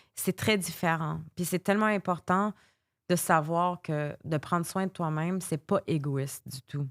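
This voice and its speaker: On a very clean recording with a silent background and a dry, close sound with no echo, a woman speaks at a fairly slow pace in a fairly low pitch with ordinary pitch variation. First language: English (speaking French). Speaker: life coach. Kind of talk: interview. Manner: halting.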